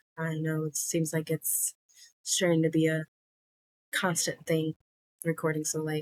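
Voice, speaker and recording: A soft-spoken woman with a very deep, low pitch, in a dry, close sound with no echo. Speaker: cross stitch vlogger. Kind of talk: casual vlog chat. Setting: home recording late at night. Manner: soft-spoken, keeping voice low.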